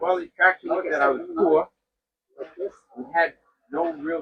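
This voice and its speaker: A man speaks in a high voice. His intonation stays fairly even. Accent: American. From Long Island, New York. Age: 80s+. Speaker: farrier. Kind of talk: interview.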